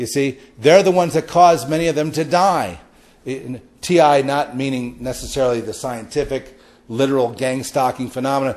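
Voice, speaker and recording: This man has an ordinary speaking voice, fairly high in pitch, with ordinary pitch variation and a moderate pace. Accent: American. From Los Angeles. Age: 60s. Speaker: podcast host. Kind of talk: spiritual monologue.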